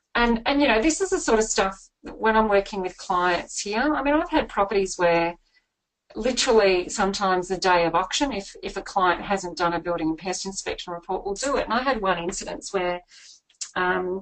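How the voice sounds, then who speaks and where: Here a woman talks with an Australian accent at a fairly quick pace. Her intonation is lively. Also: medium pitch for a woman. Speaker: buyer's agent and property author. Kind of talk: webinar presentation. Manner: fast.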